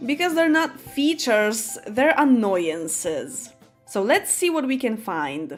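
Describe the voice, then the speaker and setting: A woman with a high voice speaks at a very slow pace with very wide pitch swings, music playing in the background. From Poland. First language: Polish. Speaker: gaming YouTuber. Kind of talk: casual talk to camera.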